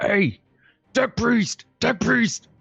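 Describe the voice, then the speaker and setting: Someone uses a put-on character voice pitched fairly high. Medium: actual play. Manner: brash, eager.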